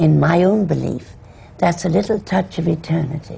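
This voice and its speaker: A woman speaks at a fairly slow pace with an Irish accent. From Ireland. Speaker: actress. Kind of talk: panel discussion.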